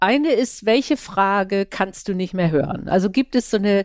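In a normal speaking voice, a woman speaks at medium pitch and a moderate pace with lively intonation, recorded very cleanly, dry and close with no echo, against a silent background. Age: 60s. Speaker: podcast host. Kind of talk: interview.

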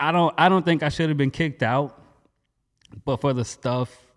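A man's fairly high voice with an American accent, an ordinary speaking voice at a moderate pace, ordinary pitch variation, and a dry, close sound with no echo on a very clean recording with a silent background. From Gary, Indiana, US Midwest. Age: 20s. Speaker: music producer, military veteran. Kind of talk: casual interview chat.

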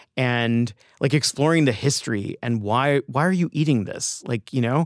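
A man with an ordinary speaking voice and an American accent talks at a medium pitch with ordinary pitch variation in a very clean recording with a silent background. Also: dry, close sound with no echo. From Texas (Austin). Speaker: chef and cookbook author. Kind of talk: interview conversation. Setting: studio.

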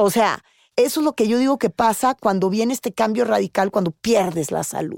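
A plain, everyday voice at a fairly quick pace, with lively intonation and a dry, close sound lacking echo. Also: woman, fairly high pitch for a woman, very clean recording, silent background. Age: 50s. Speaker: podcast host and news anchor. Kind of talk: casual chat.

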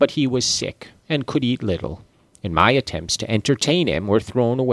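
The reader uses a natural reading voice, moving through pitch in an ordinary way.

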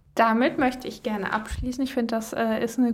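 Intonation stays fairly even in a somewhat breathy voice. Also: woman. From Germany, Kassel (Hesse). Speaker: podcast host. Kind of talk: interview. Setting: office.

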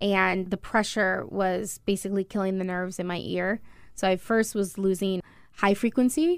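A woman speaks at medium pitch and a moderate pace. She has an ordinary speaking voice with fairly even intonation. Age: 20s. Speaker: baker. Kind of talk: casual chat.

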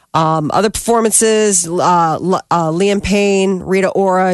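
A woman with an American accent uses a plain, everyday voice at a fairly low pitch with ordinary pitch variation, heard with a dry, close sound and no echo. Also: quiet background. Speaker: radio co-host reading news. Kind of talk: morning radio news and banter. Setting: radio studio.

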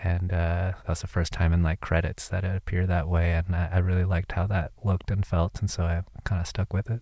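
A man's very deep, low, dark and mellow voice with an American accent, somewhat breathy and flat in a monotone, at a very fast pace with hardly any pauses and very even loudness, dry and close with no echo on a very clean recording with a silent background. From Korea and Minnesota. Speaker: TV writer and showrunner. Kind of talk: casual interview chat.

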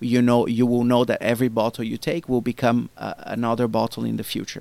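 With a Portuguese accent, a man speaks in flat, monotone intonation, the sound dry and close with no echo. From Brazil. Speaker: marketing executive. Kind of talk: interview. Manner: halting.

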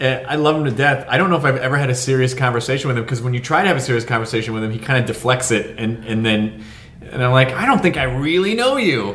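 A man talks very fast with hardly any pauses and ordinary pitch variation. There is noticeable background noise. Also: medium pitch for a man. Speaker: podcast host. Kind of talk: casual chat. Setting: studio. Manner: loud.

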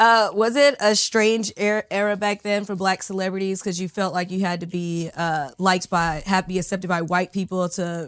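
A woman with a normal speaking voice talks at a moderate pace and medium pitch, on a very clean recording with a silent background. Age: 30s. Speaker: podcast co-host. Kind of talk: casual chat.

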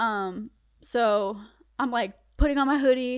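A woman's unremarkable speaking voice with an American accent, fairly high pitch and fairly even intonation, on a very clean recording with a silent background. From North Carolina. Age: 20s. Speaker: social media creator. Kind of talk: casual chat.

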